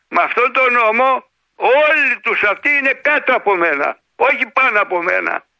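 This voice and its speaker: Here a man speaks at an extremely high pitch and a moderate pace, with ordinary pitch variation and very even loudness. Long pauses come often. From Greece, Larissa. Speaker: radio caller, pensioner. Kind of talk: phone-in chat.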